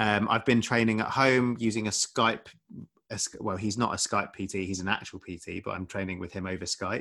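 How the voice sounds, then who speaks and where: Talking at a fairly quick pace in a southern English accent, a man uses fairly even intonation, a fairly low pitch and a bright, sharp tone. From Essex, England. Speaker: doctor and podcaster. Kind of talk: casual chat.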